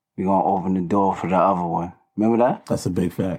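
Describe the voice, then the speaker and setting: A man with a New York accent and fairly low pitch, on a very clean recording with a silent background. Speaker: rapper. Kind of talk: casual chat.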